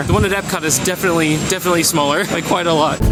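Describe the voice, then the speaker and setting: An animated voice speaks at a very fast pace amid noticeable background noise and audible room echo. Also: man. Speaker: travel vlogger. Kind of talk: travel vlog narration. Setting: outdoors.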